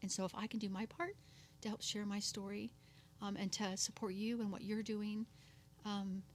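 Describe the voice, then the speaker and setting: A somewhat breathy woman speaks at a moderate pace, with fairly even intonation and very even loudness. Long pauses come often. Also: medium pitch for a woman. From local to the host's area. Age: 50s. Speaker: abuse survivor and entrepreneur. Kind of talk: testimony.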